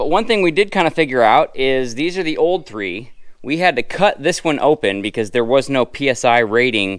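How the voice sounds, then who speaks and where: The speaker keeps a moderate pace with hardly any pauses, and the pitch swings very widely against a quiet background. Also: man. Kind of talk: casual vlog explanation. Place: farm machine. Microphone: phone near.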